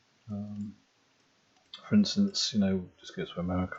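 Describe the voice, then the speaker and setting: A soft-spoken man whispers. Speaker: ASMR geography channel host. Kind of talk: soft-spoken geography talk, ASMR. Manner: soft-spoken, whispering.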